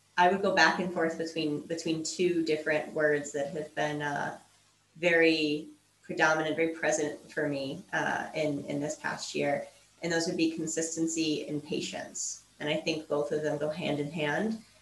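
With light background noise and audible room echo, a woman talks at a moderate pace in a very deep, low pitch with monotone, flat intonation. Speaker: entrepreneur and language coach. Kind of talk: podcast interview answer. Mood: thoughtful, warm. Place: home room.

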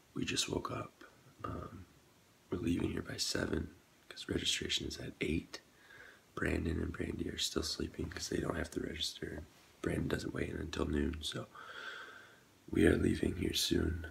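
Over light background noise, a man with a very deep, low voice speaks at a moderate pace, leaving long, frequent pauses. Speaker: vlogger. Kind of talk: casual vlog chat. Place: home room. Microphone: phone near.

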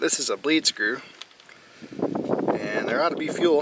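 A man's voice in a dry sound with no echo, over noticeable background noise. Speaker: farmer fixing his tractor. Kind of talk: tutorial. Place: open country. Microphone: phone near.

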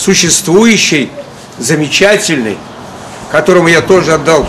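Noticeable background noise sits under a man speaking with ordinary pitch variation. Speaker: circus clown. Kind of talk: public appeal to camera. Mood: earnest, aggrieved. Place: street. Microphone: camera far.

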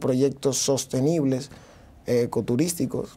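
A man with a Dominican accent, fairly high-pitched, dark and mellow in tone. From Dominican Republic, Santo Domingo; Dominican Republic. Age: 30s. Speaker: mayoral candidate; candidate. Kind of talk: TV interview. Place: studio. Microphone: lapel.

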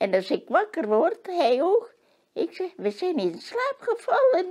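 Very wide pitch swings mark this very slow delivery, heard over a quiet background. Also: woman. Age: 80s+. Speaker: interviewee, robot test user. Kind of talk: interview answer. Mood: warm, fond. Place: home room.

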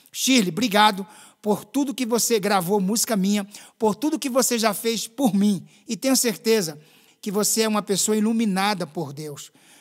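A man's high-pitched, animated voice at a moderate pace, over a quiet background. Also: ordinary pitch variation. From Northeast Brazil, Pernambuco coast. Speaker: gospel singer; guest. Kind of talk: interview testimony. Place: studio. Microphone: studio mic.

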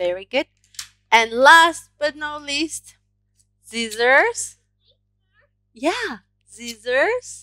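A woman's raised, projected voice, bright and sharp, with lively intonation at a very slow pace over a quiet background. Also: dry sound with no echo. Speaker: craft teacher. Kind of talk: tutorial. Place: home room. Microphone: headset.

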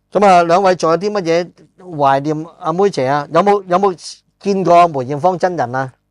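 Against a quiet background, a man with a high pitch speaks at a moderate pace, the sound dry with no echo. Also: ordinary pitch variation. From Hong Kong. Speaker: podcast host and film screenwriter; podcast host. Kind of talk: casual chat. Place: studio. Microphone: lapel.

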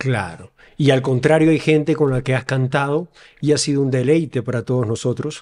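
A man at medium pitch and a moderate pace, with ordinary pitch variation. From Ecuador, Quevedo; Ecuador. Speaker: podcast host. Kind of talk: interview. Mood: warm, admiring, relaxed. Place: studio. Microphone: studio mic.

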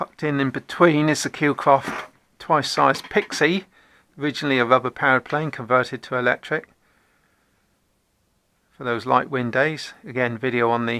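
A man's bright, sharp tone at a moderate pace, with fairly even intonation and long, frequent pauses. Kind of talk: casual tour narration. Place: home room. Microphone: phone near.

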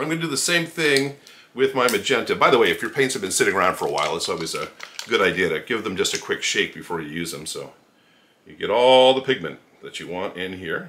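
Talking at a very fast pace, a man's voice swings widely in loudness over light background noise. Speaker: art instructor. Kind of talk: tutorial. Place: home room.

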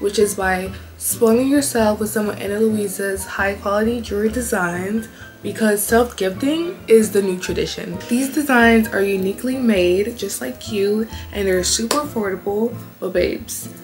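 A woman at medium pitch and moderate pace, ordinary pitch variation, audible room echo, and faint background music

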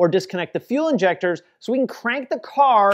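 Lively intonation from a man, over a quiet background. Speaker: presenter. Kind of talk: tutorial. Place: garage.

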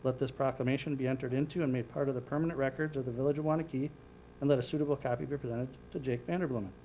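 A man talks at a fast pace with a medium pitch. His tone is dark and mellow.

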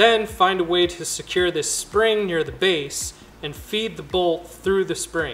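A man with a high-pitched voice. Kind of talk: DIY tutorial narration. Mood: light, self-deprecating.

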